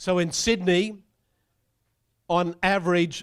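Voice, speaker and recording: A man speaks with high pitch and fairly even intonation in a very clean recording with a silent background. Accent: Australian. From Australia (Brisbane). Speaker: property economist. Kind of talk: presentation talk.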